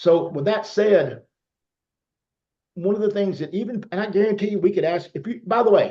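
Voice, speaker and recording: Speaking with a Southern US accent, a man uses a high pitch and a dark, mellow tone at a moderate pace, with ordinary pitch variation and long, frequent pauses. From US South. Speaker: network marketer. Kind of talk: testimony.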